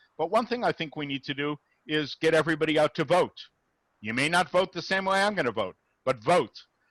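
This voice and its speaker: A man with an unremarkable speaking voice talks at a fairly quick pace with lively intonation, the sound dry and close with no echo against a quiet background. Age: 60s. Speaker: rabbi, interfaith dialogue speaker. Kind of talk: Q&A after a talk. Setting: video call.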